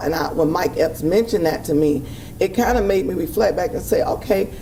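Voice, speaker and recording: Lively intonation carries the speech at a moderate pace. Room echo is audible, and background noise is noticeable. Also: woman. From Miami. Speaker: former radio host. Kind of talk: casual interview.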